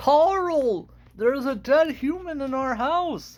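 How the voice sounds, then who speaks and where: A cartoonish character voice, high in pitch, at a fairly slow pace. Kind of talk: cartoon voice.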